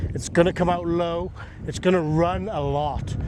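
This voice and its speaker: A man speaks with an English accent at a moderate pace. Noticeable background noise runs under the recording. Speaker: golf coach. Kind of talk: golf instruction demo.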